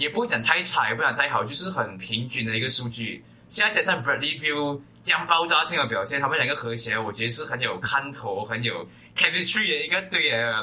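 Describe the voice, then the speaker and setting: Lively intonation with a Malaysian accent, a fairly quick pace and noticeable background noise. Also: man, fairly high pitch for a man. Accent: Malaysian Mandarin. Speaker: basketball podcast co-host. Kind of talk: casual chat.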